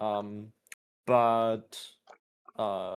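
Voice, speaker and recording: A man speaks at a medium pitch. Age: 20s. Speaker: content creator on a Minecraft server. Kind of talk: casual chat. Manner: hesitant, many fillers.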